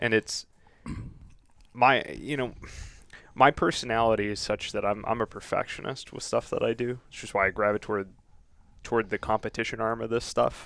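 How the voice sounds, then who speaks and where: On a very clean recording with a silent background, a man with an American accent talks at a fairly quick pace in a flat monotone, leaving long, frequent pauses. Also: medium pitch for a man. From Boston. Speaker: firearms YouTube reviewer, competition shooter. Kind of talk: casual podcast interview.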